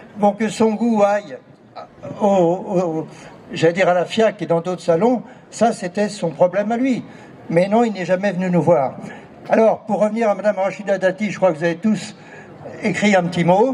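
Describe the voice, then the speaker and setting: Speech at a moderate pace with fairly even intonation and long, frequent pauses runs over noticeable background noise. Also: man, high pitch for a man. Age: 70s. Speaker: artist, former art fair president. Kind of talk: speech at artists' meeting.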